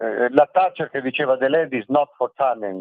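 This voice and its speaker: A plain, everyday voice from a man, medium in pitch, with ordinary pitch variation. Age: 60s. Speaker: journalist and writer. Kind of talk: radio interview.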